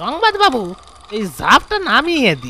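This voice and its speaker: A man's put-on character voice, raised and projected, at an extremely high pitch with very wide pitch swings. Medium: read story. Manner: blunt, coarse.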